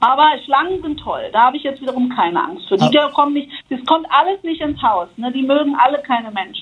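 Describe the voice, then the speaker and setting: Lively intonation carries this speaker along at a fairly quick pace. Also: woman, high pitch for a woman. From Germany, West Berlin. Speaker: hostel owner. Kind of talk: casual chat.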